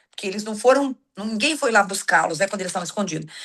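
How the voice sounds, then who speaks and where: A woman's fairly high voice, an ordinary speaking voice with ordinary pitch variation, over a quiet background. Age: 60s. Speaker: church teacher. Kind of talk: religious lesson. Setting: video call.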